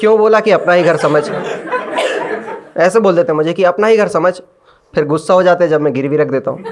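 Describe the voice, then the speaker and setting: Noticeable background noise sits under speech that keeps a moderate pace and ordinary pitch variation. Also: man, high pitch for a man. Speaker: stand-up comedian. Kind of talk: stand-up comedy set. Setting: live comedy club.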